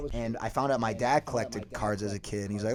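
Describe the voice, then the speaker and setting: A man with an American accent talking at a very fast pace, with noticeable background noise. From US Midwest, Chicago suburbs. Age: 20s. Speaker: card collector. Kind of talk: casual chat.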